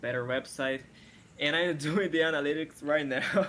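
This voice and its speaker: Speaking with a Brazilian accent, a man uses a fairly high pitch and ordinary pitch variation. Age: 20s. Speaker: web designer seeking feedback. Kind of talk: casual thanks in a live review call. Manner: halting.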